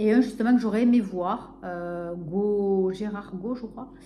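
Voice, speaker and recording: In a southern French accent, a woman speaks with ordinary pitch variation amid audible room echo. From southern France, Narbonne. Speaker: book vlogger. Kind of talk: casual vlog chat. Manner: hesitant, many fillers.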